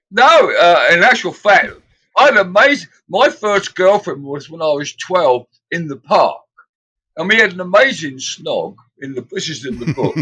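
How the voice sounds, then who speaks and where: A man with a British accent speaks in a raised, projected voice, high-pitched for a man, with a bright, sharp tone, very wide pitch swings, big swings in loudness and a moderate pace. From England. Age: 70s. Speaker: musician. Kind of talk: casual interview chat.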